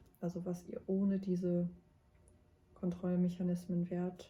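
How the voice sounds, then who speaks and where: A woman's dark, mellow, somewhat breathy voice at medium pitch, in monotone, flat intonation. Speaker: tarot card reader, mystic guide. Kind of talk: tarot reading to camera. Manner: soft-spoken at times, quiet in the second pile.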